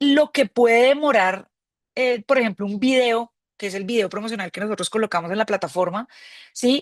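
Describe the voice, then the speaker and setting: A woman speaks in a fairly high pitch with lively intonation at a moderate pace. Her sound is dry and close, with no echo. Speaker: crowdfunding platform representative. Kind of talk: webinar mentoring talk. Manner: hesitant, repeats words.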